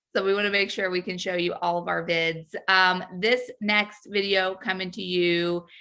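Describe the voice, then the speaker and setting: In a very clean recording with a silent background, a woman with an American accent speaks at medium pitch and a moderate pace, her tone bright and sharp, her intonation monotone and flat, with hardly any pauses. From US South. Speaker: comedy show co-host. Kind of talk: casual chat.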